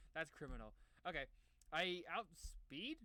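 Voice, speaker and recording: With an animated tone, a man speaks in a bright, sharp tone. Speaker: gaming YouTuber. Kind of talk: casual gameplay commentary. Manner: fast; animated, stammering.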